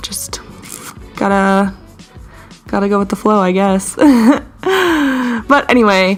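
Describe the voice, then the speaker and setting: Music plays in the background. Over it, a woman speaks with ordinary pitch variation. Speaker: artist. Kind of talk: casual voiceover over art timelapse. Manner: casual, rambling.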